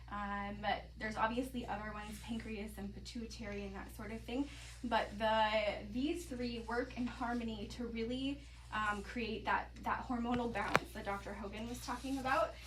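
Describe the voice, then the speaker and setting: Speaking at a moderate pace, a woman is heard over noticeable background noise, with audible room echo. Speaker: health presenter on mineral nutrition. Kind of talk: presentation to live audience.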